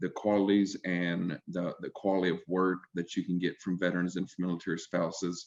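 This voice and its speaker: Over a quiet background, a man with an Alabama accent talks at a moderate pace in a very deep, low voice with monotone, flat intonation. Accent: Southern US (Alabama). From US South. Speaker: healthcare recruiter, army veteran. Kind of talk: panel discussion. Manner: hesitant, many fillers.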